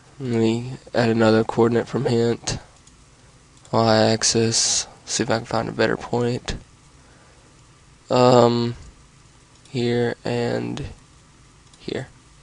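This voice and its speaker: A man of medium pitch speaks at a very slow pace in a monotone, flat intonation, with long, frequent pauses. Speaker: video tutorial maker. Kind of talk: tutorial. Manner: casual.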